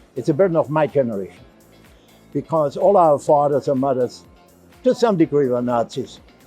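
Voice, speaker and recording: A man's fairly high voice, lively intonation and a moderate pace, with music in the background. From Germany. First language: German. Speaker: novelist and physician. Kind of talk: interview answer. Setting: book fair.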